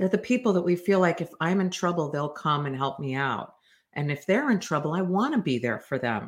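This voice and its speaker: A woman talks at a fairly quick pace in a plain, everyday voice, fairly low in pitch, with lively intonation. The recording is very clean, with a silent background. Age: 50s. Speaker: developmental psychologist podcast host. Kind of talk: solo educational talk.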